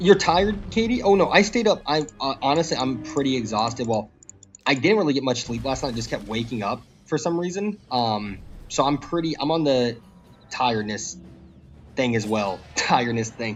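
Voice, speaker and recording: A man speaks at a medium pitch and a moderate pace, with very wide pitch swings. Music plays in the background. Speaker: game streamer. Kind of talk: casual live stream chat.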